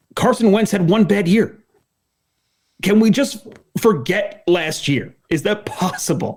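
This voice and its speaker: A man talks at a fairly slow pace and high pitch, with ordinary pitch variation and long, frequent pauses. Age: 30s. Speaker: sports podcast co-host. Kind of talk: casual chat. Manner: stuttering, repeats words; animated, argumentative.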